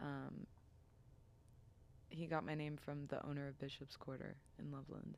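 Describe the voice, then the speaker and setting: Soft-spoken, this woman talks quietly. Her pitch is very deep and low. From US Midwest, Cincinnati, Ohio. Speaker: singer-songwriter. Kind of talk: casual interview chat. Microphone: too far from the mic, too quiet.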